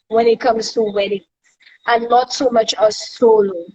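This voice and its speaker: A woman with a Saint Lucian accent speaks at a fairly high pitch and a moderate pace. The sound is dry and close, with no echo. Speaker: live stream host. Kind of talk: casual interview chat.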